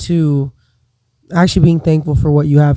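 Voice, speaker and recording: A man's fairly high-pitched voice with a dark, mellow tone, monotone and flat in intonation, at a moderate pace. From Dominican Republic. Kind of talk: casual chat. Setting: live stream.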